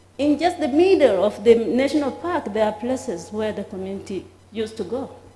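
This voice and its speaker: A woman's fairly high voice, with audible room echo and noticeable background noise. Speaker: heritage site official. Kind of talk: conference presentation. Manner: halting.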